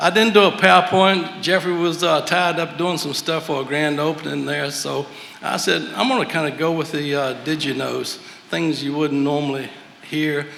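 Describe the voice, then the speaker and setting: Speaking in a Southern US accent at a moderate pace, a man with a fairly high pitch is heard amid noticeable background noise and audible room echo. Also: ordinary pitch variation. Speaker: master mason. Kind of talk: lecture.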